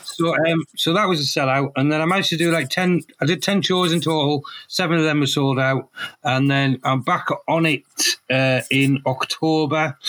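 A man speaks at a moderate pace with a fairly high pitch. His intonation is fairly even and his loudness very even. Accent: Teesside. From northern England, Middlesbrough. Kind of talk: casual chat. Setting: studio.

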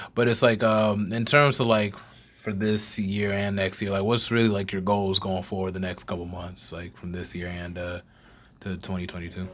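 A man talks in a normal speaking voice, fairly low in pitch. His pace is moderate and his intonation fairly even. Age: 20s. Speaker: podcast host and college student. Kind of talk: casual chat.

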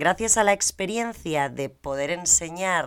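Fairly low female voice with lively intonation on a very clean recording with a silent background. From Spain. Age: 30s. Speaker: Spanish teacher. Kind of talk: scripted introduction.

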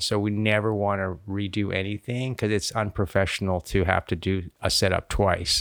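On a very clean recording with a silent background, a man with an American accent speaks at a moderate pace and a fairly low pitch. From Texas. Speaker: cinematographer. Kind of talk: casual interview chat.

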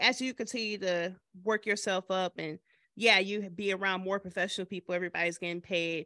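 A woman with an American accent speaks at a medium pitch and a moderate pace in a bright, sharp tone. The sound is dry and close with no echo, over a quiet background. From Michigan. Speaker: filmmaker. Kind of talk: casual interview chat.

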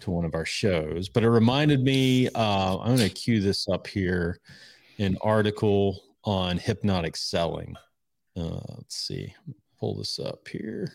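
A plain, everyday voice from a man, fairly low in pitch with ordinary pitch variation, at a fairly slow pace, on a very clean recording with a silent background. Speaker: podcast host, persuasion and sales. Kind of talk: casual conversational podcast chat.

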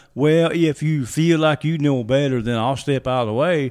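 A man with an unremarkable speaking voice talks at a moderate pace at a fairly high pitch with ordinary pitch variation. The recording is very clean, with a silent background. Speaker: co-host and prayer leader. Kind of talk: casual religious talk and prayer.

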